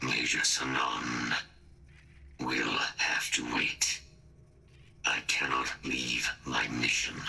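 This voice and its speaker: Putting on a character voice, a man speaks with a very deep, low pitch at a very slow pace with long, frequent pauses. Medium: machinima. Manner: clipped, formal, mechanical.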